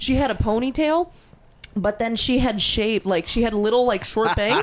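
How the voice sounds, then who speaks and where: An animated woman speaks at a high pitch. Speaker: podcast host. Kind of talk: casual chat. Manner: loud.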